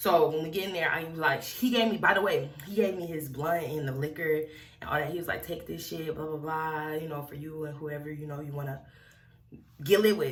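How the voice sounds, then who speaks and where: A woman with a very deep, low voice speaks at a fairly quick pace, her loudness swinging widely, with audible echo in the room. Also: ordinary pitch variation. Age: young. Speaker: wig review vlogger. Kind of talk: storytime vlog. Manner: fast; animated.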